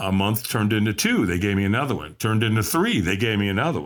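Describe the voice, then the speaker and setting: A man with fairly low pitch on a very clean recording with a silent background. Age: 60s. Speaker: recovering alcoholic, motivational coach. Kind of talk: interview storytelling. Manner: animated.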